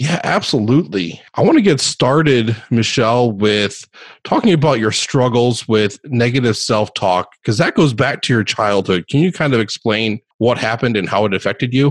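In an ordinary speaking voice, a man talks at a moderate pace and medium pitch with lively intonation, hardly any pauses and very even loudness. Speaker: podcast host. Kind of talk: interview.

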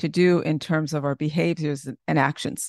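Vocal fry marks the warm, enthusiastic tone of a woman heard over a quiet background. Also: dry, close sound with no echo. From Caribbean. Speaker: podcast host. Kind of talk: interview conversation.

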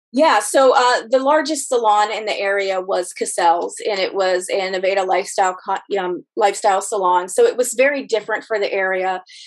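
With an American accent, a woman in an unremarkable speaking voice talks at a fairly quick pace with hardly any pauses, medium pitch and ordinary pitch variation. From Ohio, Rust Belt. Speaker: hair colorist and salon owner. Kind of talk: casual interview.

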